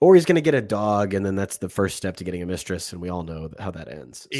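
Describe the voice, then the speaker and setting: A man puts on a character voice that is raspy and very deep, with a very low pitch. He talks at a very fast pace, with lively intonation and big swings in loudness. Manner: sarcastic, mocking.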